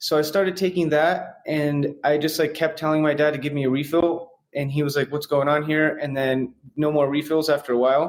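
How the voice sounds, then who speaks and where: With an American accent, a man talks at a fairly quick pace in a fairly high pitch, his intonation monotone and flat. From San Francisco, US. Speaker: real estate investor in recovery. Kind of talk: personal testimony in interview.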